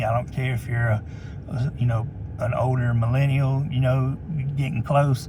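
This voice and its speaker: A man speaks with an American accent in monotone, flat intonation. Noticeable background noise runs behind him. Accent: Southern redneck. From US South, North Mississippi. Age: 50s. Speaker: retired police officer. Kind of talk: casual vlog monologue. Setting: in a parked truck. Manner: halting, many repetitions.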